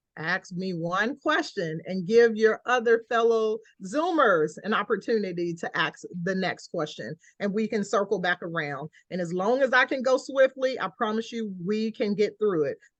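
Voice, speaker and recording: The recording is dry and close, with no echo. A woman with an American accent talks at a fairly high pitch with lively intonation. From Georgia, US South. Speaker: scholarship program director. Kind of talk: online Q&A session. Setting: video call. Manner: fast.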